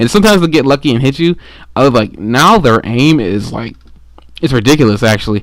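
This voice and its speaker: Very fast pace with lively intonation. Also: man, medium pitch for a man. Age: 20s. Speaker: gaming commentator. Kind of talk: gameplay commentary. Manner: halting.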